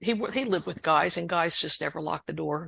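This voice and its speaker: A woman's voice against a quiet background. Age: 60s. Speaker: author. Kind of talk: testimony. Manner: halting.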